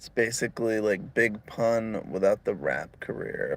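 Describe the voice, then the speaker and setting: A man speaking at a very slow pace. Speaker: stand-up comedian. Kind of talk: stand-up. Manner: monotone; low energy.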